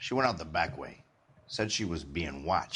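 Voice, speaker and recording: Using a put-on character voice, a man growls in a raspy, very deep, low register at a moderate pace. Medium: video game.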